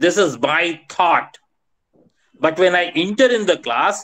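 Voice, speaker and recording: Against a quiet background, a man with a high pitch speaks at a fairly slow pace, his tone bright and sharp and his intonation lively. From India. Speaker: professor, teacher trainer; teacher trainer. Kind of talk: online lecture. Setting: video call. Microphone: video call.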